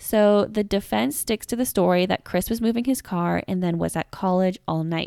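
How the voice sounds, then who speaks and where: In a very clean recording with a silent background and a dry, close sound with no echo, a woman with an American accent speaks at a medium pitch with ordinary pitch variation, a dark, mellow tone and hardly any pauses. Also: moderate pace. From Seattle, US Pacific Northwest. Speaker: podcast co-host. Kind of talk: storytelling chat. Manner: animated.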